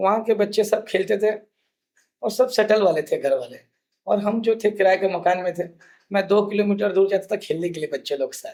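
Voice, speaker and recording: At a moderate tempo, this man talks with a high pitch that varies in an ordinary way. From Andhra Pradesh, India; moved to Raipur as teen. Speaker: food charity founder, hotel owner. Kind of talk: interview, personal life story.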